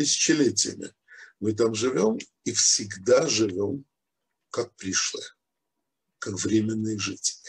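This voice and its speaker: A man speaks at a very slow pace in a somewhat breathy voice, with long, frequent pauses. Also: ordinary pitch variation. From Ukraine, Odessa; Ukraine. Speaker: rabbi, Torah teacher; rabbi teaching Torah. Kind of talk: religious lecture. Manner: hesitant, many filler sounds. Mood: calm explanatory. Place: home room. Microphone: video call.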